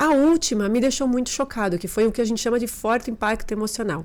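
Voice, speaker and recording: A woman talks at a fairly quick pace, recorded very cleanly against a silent background. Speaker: behavioral therapist. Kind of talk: podcast interview testimony.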